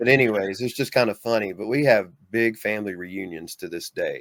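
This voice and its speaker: A man at medium pitch with a Southern US accent, in a dry, close sound with no echo. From US South, Mississippi. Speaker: bigfoot experiencer, author. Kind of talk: casual interview.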